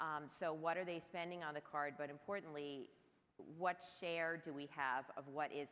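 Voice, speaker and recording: With a very deep, low pitch, a woman speaks in a bright, sharp tone and fairly even intonation. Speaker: marketing executive. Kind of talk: panel discussion.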